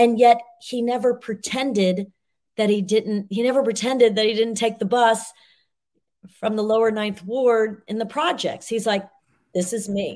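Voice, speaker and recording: A woman at a moderate pace and fairly high pitch, on a very clean recording with a silent background. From moved around US, north and south. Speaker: business professor and executive coach. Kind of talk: interview. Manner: animated.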